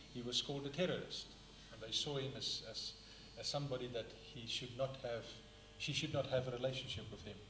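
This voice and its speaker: A man at a fairly quick pace with fairly even intonation and long, frequent pauses, amid noticeable background noise and audible room echo. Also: medium pitch for a man. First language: not English (third language). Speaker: book reviewer, speaker. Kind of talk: public talk, book review. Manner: halting at times.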